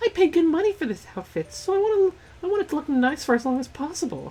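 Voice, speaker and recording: This squeaky, put-on character voice runs at a very fast pace with extremely high pitch. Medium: game stream. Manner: breezy, casual.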